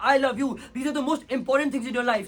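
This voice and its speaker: Loud and very fast, a man speaks at an extremely high pitch with fairly even intonation. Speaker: competitive debater. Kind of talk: competitive debate speech; casual chat.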